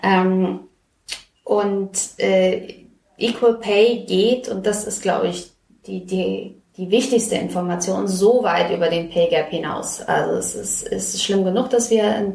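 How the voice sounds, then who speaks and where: A woman at a medium pitch, with fairly even intonation and a very slow pace. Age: 30s. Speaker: podcast host, magazine journalist. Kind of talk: casual chat.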